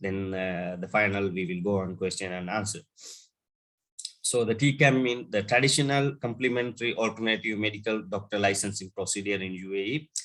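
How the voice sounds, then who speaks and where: Against a quiet background, a man with a fairly low voice speaks at a fairly quick pace with ordinary pitch variation. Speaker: business development manager in healthcare. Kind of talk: webinar presentation. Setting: online webinar. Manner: hesitant, many fillers.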